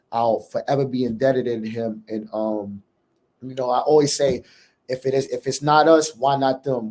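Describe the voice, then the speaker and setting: Here a man with a strong New York accent talks at a moderate pace and medium pitch. His tone is dark and mellow, with fairly even intonation. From New York City. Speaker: college basketball head coach. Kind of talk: interview.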